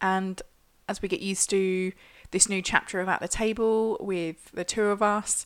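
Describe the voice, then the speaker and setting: Using a plain, everyday voice, a woman speaks at medium pitch and a fairly slow pace. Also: very clean recording, silent background. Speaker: podcast co-host. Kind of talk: casual podcast chat. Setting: at a dining room table.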